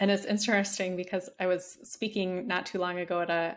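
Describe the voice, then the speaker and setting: A woman has an ordinary speaking voice at a medium pitch and moderate pace. The recording is very clean, with a silent background. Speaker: psychologist and burnout expert. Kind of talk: interview conversation.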